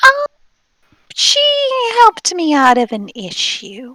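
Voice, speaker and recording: In a put-on character voice, the speaker sounds high-pitched and squeaky, moving at a fairly slow pace. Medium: actual play.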